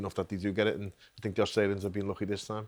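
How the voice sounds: A man's fairly low voice at a very fast pace, with little pitch movement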